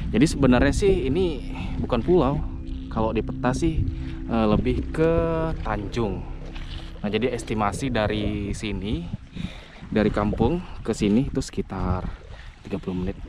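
A man speaks at a moderate pace with long, frequent pauses, his voice dry with no echo as music plays in the background. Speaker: solo camping vlogger. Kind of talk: casual vlog chat. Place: beach. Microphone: camera far.

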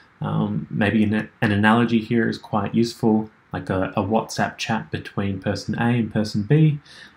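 A man's fairly low-pitched voice with vocal fry, moderate pace and fairly even intonation.

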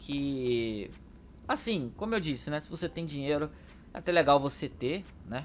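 At a fairly slow pace, a man talks with lively intonation and a fairly high pitch. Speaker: gaming YouTuber. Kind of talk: casual gameplay commentary. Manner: animated.

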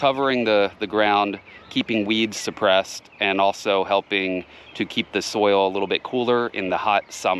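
A man with a normal speaking voice, fairly low pitch, ordinary pitch variation and a moderate pace, in a dry sound with no echo and light background noise. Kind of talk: tutorial. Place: garden. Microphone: phone near.

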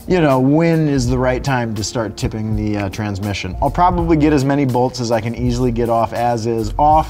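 Moderate pace and ordinary pitch variation, with faint music in the background. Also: man. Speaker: car show host mechanic. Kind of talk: tutorial. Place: garage.

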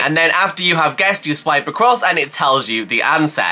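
Her fairly low voice moves in very wide pitch swings as the woman speaks. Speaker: YouTuber. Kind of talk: casual vlog chat. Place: home room.

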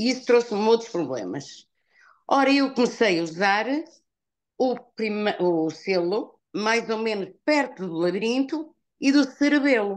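Against a quiet background, a woman speaks with lively intonation. Her voice is fairly high, and her pace is fairly slow. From northern Portugal. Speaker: customer giving product testimonial. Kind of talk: testimony. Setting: video call. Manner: halting.

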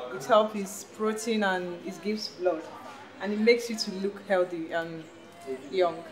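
At a very slow pace, a woman speaks with ordinary pitch variation over light background noise. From Nigeria, east (Igbo). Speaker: migrant. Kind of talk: personal interview. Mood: friendly, relaxed. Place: kitchen.

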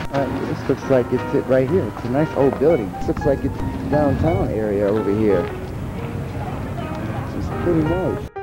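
Over loud music in the background, a man speaks at a moderate pace in a dry sound with no echo. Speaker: traveling vendor vlogger. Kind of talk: casual vlog chat. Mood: friendly, upbeat. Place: street. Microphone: phone near.

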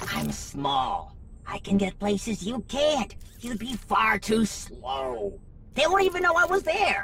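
Clear background noise runs under a put-on character voice that is fairly high-pitched and fairly slow. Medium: audio drama. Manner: cocky, joking, upbeat.

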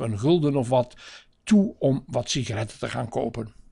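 Lively intonation at a moderate pace in an unremarkable speaking voice. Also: man, quiet background. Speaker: narrator reading a family chronicle. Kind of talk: 1960s newsreel-style narration, read aloud from a script. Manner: measured, formal, even-paced.

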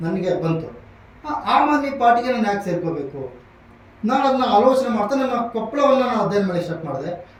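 A man speaks at a high pitch with very wide pitch swings, amid noticeable background noise and audible room echo. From Koppal district, north Karnataka, India. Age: 20s. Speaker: local politician. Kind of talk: interview. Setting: studio.

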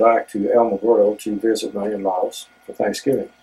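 The voice is a man's. He moves at a moderate speed. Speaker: storyteller, interviewee. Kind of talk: interview answer. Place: office. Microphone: camera far.

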